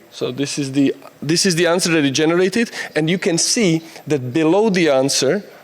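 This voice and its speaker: In a Czech accent, the speaker goes at a moderate pace with ordinary pitch variation amid noticeable background noise. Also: man. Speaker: conference speaker. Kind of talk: conference talk. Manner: halting.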